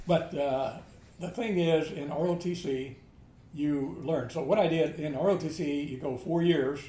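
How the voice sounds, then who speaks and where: Over noticeable background noise, a man speaks at a fairly slow pace. His pitch sits fairly high, with ordinary pitch variation. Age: 80s+. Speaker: army veteran. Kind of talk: interview answer.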